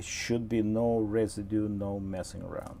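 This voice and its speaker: With a Russian accent, a man speaks very slowly in a fairly low voice with a dark, mellow tone. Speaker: model train hobbyist and tutorial host. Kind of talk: live-stream tutorial. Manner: halting, many fillers; casual, chatty.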